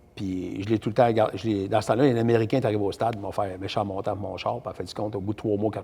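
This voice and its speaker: The speech moves at a very fast pace in a Quebec accent, with fairly even intonation. The tone is dark, mellow and somewhat breathy. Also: man. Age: 60s. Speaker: race driver and builder. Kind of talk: casual interview.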